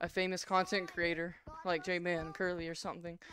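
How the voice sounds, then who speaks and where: A woman's voice comes through dry with no echo. Light background noise sits underneath. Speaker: gaming streamer. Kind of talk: live gameplay stream chat. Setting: home VR setup, live stream. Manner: animated; fast talker. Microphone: headset.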